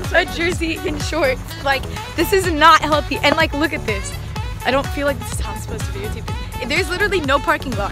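Over clear music in the background, a woman talks at a very fast pace in a dry sound with no echo. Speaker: student athlete vlogger. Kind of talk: casual vlog chat. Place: street. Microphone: phone near.

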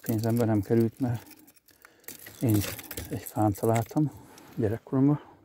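A man with a medium-pitched voice talks at a moderate pace with ordinary pitch variation, taking long, frequent pauses over noticeable background noise. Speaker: angler vlogger. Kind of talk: casual outdoor vlog narration. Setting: outdoors on a riverbank.

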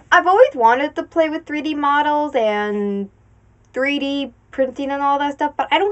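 This woman talks at a moderate pace in a high pitch. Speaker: crafting youtuber. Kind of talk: casual vlog chat. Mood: cheerful, relaxed. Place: home room. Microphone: lapel.

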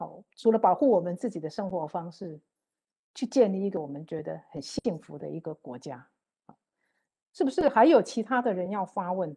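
Against a quiet background, a woman with a dark, mellow tone speaks with big swings in loudness and long, frequent pauses. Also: lively intonation, moderate pace. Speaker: moderator. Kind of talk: panel moderation. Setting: video call. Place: home room. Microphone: earbuds.

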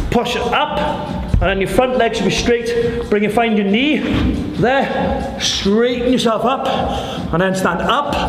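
Extremely high in pitch, a man speaks at a fairly slow pace with ordinary pitch variation and very even loudness. Audible room echo and noticeable background noise fill the recording. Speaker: fitness coach. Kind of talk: tutorial. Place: gym.

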